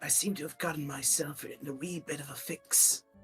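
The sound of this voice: A raspy, put-on character voice at a middle pitch speaks at a moderate pace over faint background music.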